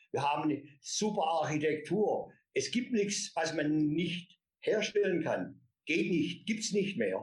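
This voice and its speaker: This man's voice sits high, moving at a very slow pace with ordinary pitch variation and very even loudness. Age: 60s. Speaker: company founder and author. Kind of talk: interview.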